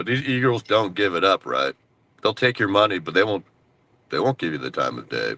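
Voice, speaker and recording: A man's fairly low, bright, sharp voice with vocal fry, very wide pitch swings and a fairly quick pace in a dry, close sound with no echo. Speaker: stream guest. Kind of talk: casual chat.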